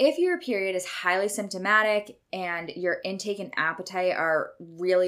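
A woman speaks at a moderate pace and a medium pitch. She has an ordinary speaking voice. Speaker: nutrition podcast host. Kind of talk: solo podcast monologue. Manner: casual and irreverent.

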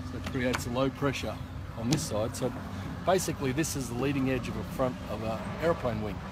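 Over loud background noise, a man talks at a fairly quick pace in a dry sound with no echo. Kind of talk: explanation to a visitor. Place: open country. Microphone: phone near.

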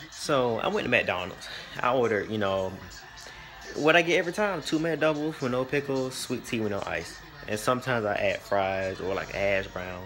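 Music plays clearly behind the speaker. He is a man talking at a moderate pace. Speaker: vlogger. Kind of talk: casual vlog storytime. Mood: amused, exasperated. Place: home room. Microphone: phone near.

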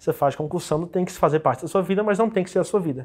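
Very fast delivery with ordinary pitch variation. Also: man. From Brazil, Federal District (Ceilândia). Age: 20s. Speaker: top-ranked civil service exam candidate, physiotherapist. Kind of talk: interview. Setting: studio. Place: studio.

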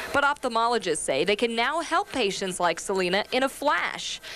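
A woman speaks with lively intonation at a moderate pace, light background noise behind her. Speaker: health reporter. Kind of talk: packaged TV health news report.

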